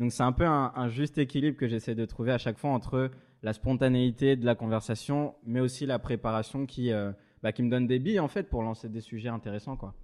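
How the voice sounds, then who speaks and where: A man's medium-pitched voice over a quiet background, fairly quick in pace and fairly even in intonation. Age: 20s. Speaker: journalist and interviewer. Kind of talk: casual interview chat. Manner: hesitant, many repetitions.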